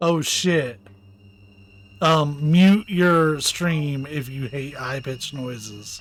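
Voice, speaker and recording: Over music in the background, a man speaks at a very slow pace with fairly high pitch and ordinary pitch variation. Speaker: gaming streamer. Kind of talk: live gameplay commentary. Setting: live stream.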